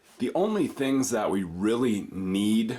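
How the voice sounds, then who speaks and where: A man with a fairly low pitch speaks with lively intonation. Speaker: art teacher. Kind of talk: tutorial.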